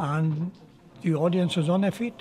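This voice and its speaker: A man with a South Welsh accent speaks in a high pitch with fairly even intonation at a fairly slow pace, over noticeable background noise. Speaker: male voice choir member. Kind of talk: anecdote told in interview. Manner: casual, humorous.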